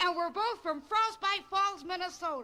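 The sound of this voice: An extremely high, cartoonish character voice speaks at a moderate pace.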